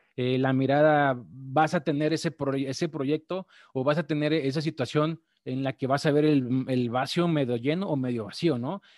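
Recorded very cleanly against a silent background, dry and close with no echo, a man talks at a moderate pace and fairly high pitch with fairly even intonation and hardly any pauses. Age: 40s. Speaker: trading podcast host. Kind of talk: live-streamed talk on trading psychology. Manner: halting, many fillers and repetitions.

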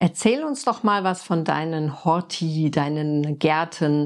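In a very clean recording with a silent background, a woman talks at a fairly low pitch with ordinary pitch variation. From Frankfurt, Germany. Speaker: podcast host and permaculture designer. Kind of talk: interview.

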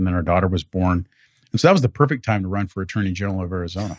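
A man with an American accent speaks at a very deep, low pitch. The recording is very clean and silent behind him, with a dry, close sound and no echo. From South Central Los Angeles area (Lynwood, Paramount). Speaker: state supreme court justice. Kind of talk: interview. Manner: halting with repetitions and fillers.

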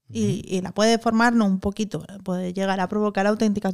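The delivery is very fast, with fairly even intonation. Its sound is dry and close, without any echo. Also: woman. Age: 40s. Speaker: podcast co-host. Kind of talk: casual chat.

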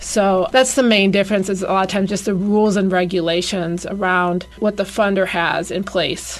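A woman with a normal speaking voice talks at a moderate pace, medium pitch and fairly even intonation. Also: hardly any pauses. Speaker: grant writer. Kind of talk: radio interview, explanatory.

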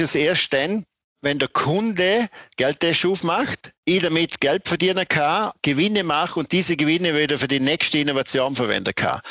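This man's fairly high voice moves at a moderate pace and varies in pitch in an ordinary way. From Austria, Vorarlberg (Bregenzerwald). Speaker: company founder and managing director. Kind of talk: interview. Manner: animated.

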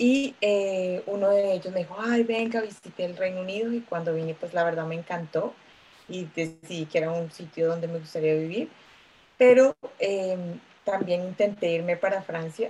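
In a Bogotá accent, a woman speaks at a medium pitch with ordinary pitch variation. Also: moderate pace. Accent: Bogotá Colombian Spanish. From Colombia, Bogotá. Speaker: lawyer, migrant. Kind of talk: casual chat.

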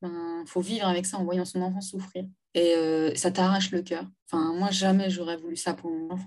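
Monotone, flat intonation at a moderate pace. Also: woman, medium pitch for a woman. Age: 30s. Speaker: domestic violence survivor and feminist activist. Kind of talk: testimony.

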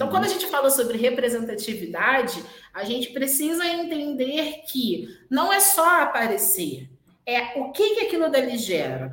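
Audible room echo surrounds a voice that moves at a moderate pace with very wide pitch swings. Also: woman, high pitch for a woman. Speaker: hotel general manager. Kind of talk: interview on live-stream. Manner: animated.

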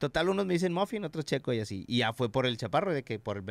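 With a Mexican accent, the speaker races at a very fast pace with very wide pitch swings, recorded very cleanly against a silent background in a dry, close sound with no echo. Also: man. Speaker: former radio host. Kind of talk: casual chat. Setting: studio.

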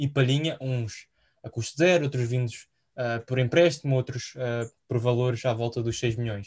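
A man's voice comes through somewhat breathy. He keeps to a moderate pace. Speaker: football podcast host. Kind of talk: casual chat.

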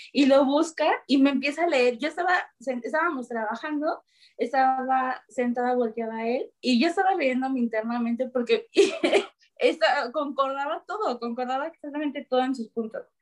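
A woman's voice sits high, with ordinary pitch variation. She keeps a moderate pace. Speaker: lawyer and amateur American football player. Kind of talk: casual chat. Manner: loud.

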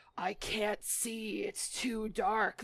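A raspy, put-on character voice from a woman, pitched fairly high. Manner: terrifying, otherworldly.

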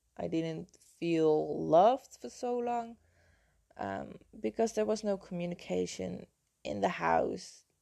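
Very slowly, a woman with a Dutch accent talks in a dark, mellow tone with lively intonation. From Netherlands. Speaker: health and mindset coach. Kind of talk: personal storytelling monologue.

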